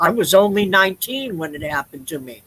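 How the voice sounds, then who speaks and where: A woman with a bright, sharp tone and medium pitch speaks at a moderate pace with lively intonation. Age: 60s. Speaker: chaplain, co-host. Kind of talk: personal testimony in a discussion. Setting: online broadcast.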